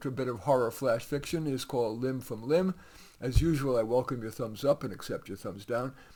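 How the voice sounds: The pitch shifts in an ordinary way. A natural reading voice carries the text.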